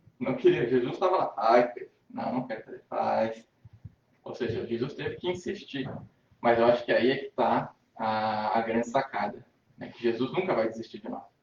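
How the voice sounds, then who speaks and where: A man talks at a moderate pace with a medium pitch and ordinary pitch variation. His voice is somewhat breathy and swings widely in loudness. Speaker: spiritist lecturer. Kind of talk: spiritist lecture. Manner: halting.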